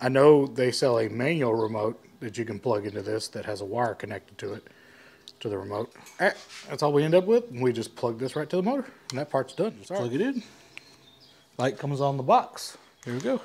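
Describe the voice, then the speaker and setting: A man with an American accent at medium pitch, lively intonation and a fairly quick pace, long and frequent pauses, big swings in loudness, and noticeable background noise. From Texas. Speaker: furniture maker. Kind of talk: DIY tutorial. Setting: workshop. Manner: casual.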